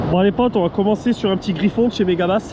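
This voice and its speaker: Noticeable background noise fills the recording. A man is talking. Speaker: fishing youtuber. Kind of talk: casual vlog tutorial. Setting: outdoors by a river lock. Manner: animated, informal.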